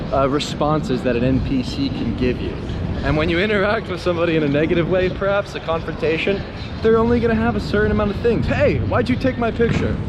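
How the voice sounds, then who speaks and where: Mumbling at a very fast pace, a man with a fairly high pitch and lively intonation speaks amid audible room echo and noticeable background noise. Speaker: street photographer vlogger. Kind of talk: casual vlog rant. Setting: outdoors on city street.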